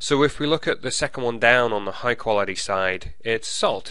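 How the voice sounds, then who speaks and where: Audible room echo surrounds a man's bright, sharp tone in an English accent. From England. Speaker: college professor. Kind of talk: lecture.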